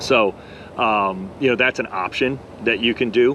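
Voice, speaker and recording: A man with an American accent, medium pitch and ordinary pitch variation, over noticeable background noise. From Florida, Tampa Bay area. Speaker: real estate agent. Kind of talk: casual chat.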